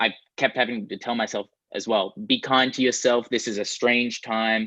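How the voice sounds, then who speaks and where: With an Australian accent, a man at medium pitch speaks at a moderate pace in a bright, sharp tone. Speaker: guitarist and producer. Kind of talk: interview answer. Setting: video call.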